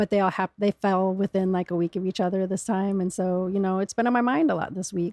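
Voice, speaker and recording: A woman with an American accent talks very fast with hardly any pauses, her tone dark and mellow and her intonation fairly even. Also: medium pitch for a woman. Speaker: cancer survivor. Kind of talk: casual interview chat.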